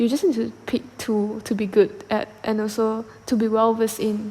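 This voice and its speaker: This woman has a fairly high pitch and a Malaysian accent. Her intonation is flat and monotone, and there is noticeable background noise. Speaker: podcast host. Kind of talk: solo podcast monologue. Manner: halting, many fillers and repetitions.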